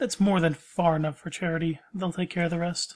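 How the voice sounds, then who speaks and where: A woman puts on a character voice, talking at a fairly low pitch and a fairly quick pace with fairly even intonation. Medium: actual play. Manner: curt.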